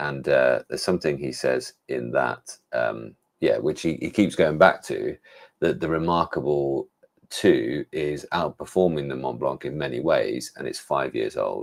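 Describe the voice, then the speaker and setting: A man talks at a fairly slow pace with an English accent. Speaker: tech reviewer. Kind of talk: live stream chat. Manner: casual, hesitant with fillers.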